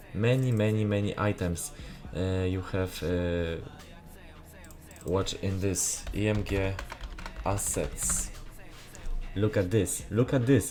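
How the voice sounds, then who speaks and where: A man with a strong Polish accent and fairly low pitch speaks at a very slow pace with long, frequent pauses. Music plays in the background, and audible room echo is present. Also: ordinary pitch variation. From Poland. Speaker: gaming graphics content creator. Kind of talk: tutorial. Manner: halting, many filler sounds.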